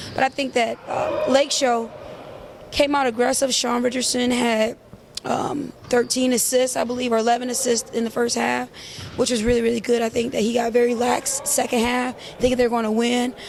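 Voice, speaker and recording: A loud woman's voice, high in pitch, with monotone, flat intonation at a moderate pace and noticeable background noise. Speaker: basketball league statistician and analyst. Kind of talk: casual chat.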